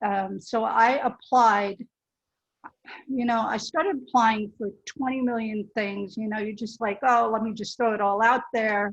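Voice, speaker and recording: A woman with a normal speaking voice talks at a fairly slow pace, her fairly high pitch held in fairly even intonation. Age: 60s. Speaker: career changer, bootcamp graduate. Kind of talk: panel discussion. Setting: online webinar.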